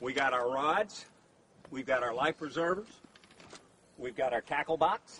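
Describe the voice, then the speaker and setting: A man's upbeat, fairly high-pitched voice with lively intonation, a moderate pace, and long, frequent pauses, dry and close with no echo, over noticeable background noise. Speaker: outdoor fishing show host. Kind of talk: infomercial-style fishing show spots with gear and sunscreen pitches. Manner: upbeat, salesy pitch delivery with folksy exclamations and comic mishaps; animated, excitable, amused, laughing.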